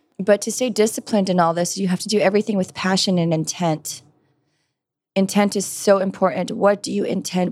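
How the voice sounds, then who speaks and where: A normal speaking voice with an American accent moves at a fairly quick pace. Intonation stays fairly even on a very clean recording with a silent background. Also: woman. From California, US. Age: 30s. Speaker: model and firearms trainer. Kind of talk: interview.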